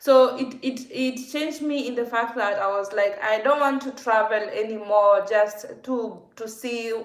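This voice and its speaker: A woman with a Kenyan accent speaks fairly slowly at a fairly high pitch with fairly even intonation. Noticeable background noise and audible room echo are present. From Kenya, Nakuru. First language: Kikuyu. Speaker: vlogger. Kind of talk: casual livestream Q&A.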